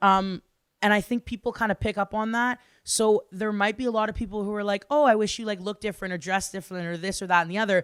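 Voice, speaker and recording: With a Canadian accent, a woman of medium pitch speaks at a very fast pace in an animated tone, the sound dry and close with no echo. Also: very clean recording, silent background. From Ottawa, Ontario, Canada. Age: 20s. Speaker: singer-songwriter. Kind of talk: casual interview.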